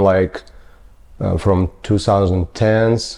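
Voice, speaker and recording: A man with a Ukrainian accent speaks at a fairly low pitch in a dark, mellow tone. His intonation is monotone and flat. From Ukraine (Mariupol). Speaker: general contractor. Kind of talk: interview, life story. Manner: halting, many fillers.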